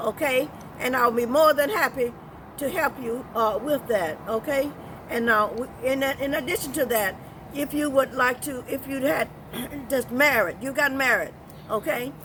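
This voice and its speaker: With noticeable background noise behind her, a woman speaks at a high pitch and a moderate pace. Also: ordinary pitch variation. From US South, Georgia. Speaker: civil rights pioneer, evangelist. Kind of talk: interview.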